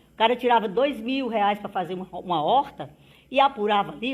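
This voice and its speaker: In a plain, everyday voice, a woman talks at a fairly quick pace with a fairly high pitch and lively intonation. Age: 60s. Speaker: politician. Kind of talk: interview.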